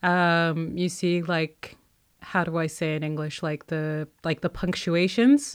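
Pitched fairly low, a woman speaks at a very slow pace with fairly even intonation. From Kuwait. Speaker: guest, artist. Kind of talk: casual interview chat. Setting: remote recording, home studio.

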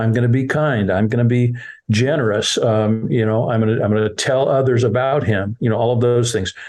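At a fairly quick pace, a man with a medium pitch keeps fairly even intonation and very even loudness, with audible room echo around him. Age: 60s. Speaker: children's ministry leader. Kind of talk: interview.

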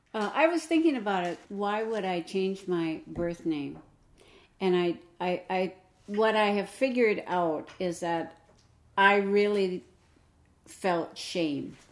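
Very slow pace, long and frequent pauses, and an American accent. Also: woman, medium pitch for a woman, ordinary pitch variation. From Minnesota. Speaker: Native adoptee. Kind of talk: interview.

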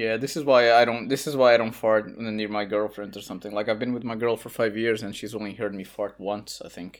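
Delivered at a fairly quick pace with hardly any pauses, the voice carries a Portuguese accent and big swings in loudness on a very clean recording with a silent background. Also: man, medium pitch for a man, fairly even intonation. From Portugal. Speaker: writer and translator. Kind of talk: casual chat.

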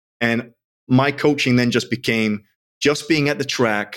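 A man in a normal speaking voice at moderate pace with ordinary pitch variation, in a very clean recording with a silent background. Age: 40s. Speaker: sprint and strength coach, CEO. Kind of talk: casual interview chat.

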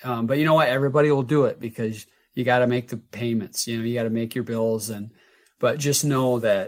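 In a normal speaking voice, a man talks at medium pitch with fairly even intonation on a very clean recording with a silent background. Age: 50s. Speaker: health coach and entrepreneur. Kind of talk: interview.

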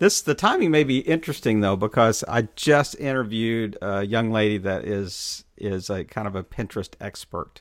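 A plain, everyday voice at a moderate pace with hardly any pauses and ordinary pitch variation, in a very clean recording with a silent background. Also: man, fairly low pitch for a man. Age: 50s. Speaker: podcast host. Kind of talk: interview.

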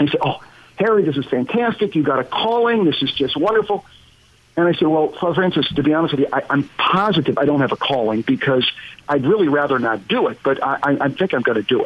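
Speaking very fast with an American accent, a man with a fairly high voice swings his pitch very widely. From Pennsylvania, US. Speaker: business professor and former CEO. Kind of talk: interview. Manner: halting, many fillers.

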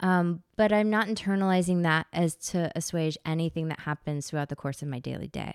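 A woman with an American accent uses a plain, everyday voice at a fairly low pitch, with ordinary pitch variation. She talks fairly quickly with hardly any pauses, on a very clean, dry, close recording with a silent background and no echo. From Memphis, Tennessee (US South). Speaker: workplace wellbeing manager. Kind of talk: casual chat.

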